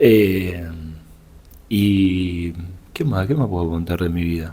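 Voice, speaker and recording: Amid audible room echo, a man with a Rioplatense accent speaks at a very slow pace, with a very deep, low pitch, ordinary pitch variation and a dark, mellow tone. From Buenos Aires, Argentina. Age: 20s. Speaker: pastor's son, drummer. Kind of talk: casual chat.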